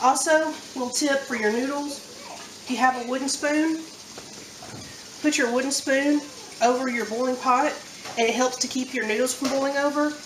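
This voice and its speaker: In a strong Southern US accent, a woman speaks at a high pitch and a moderate pace with flat, monotone intonation and long, frequent pauses, amid audible room echo and noticeable background noise. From US South, central Alabama. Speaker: home cook. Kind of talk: tutorial. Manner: casual.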